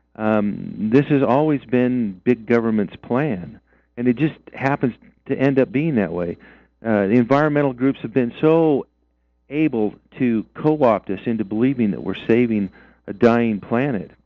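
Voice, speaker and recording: A normal speaking voice with an American accent, moderate pace and ordinary pitch variation. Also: man, medium pitch for a man. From Idaho. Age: 60s. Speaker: mining and land-use activist. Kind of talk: radio interview.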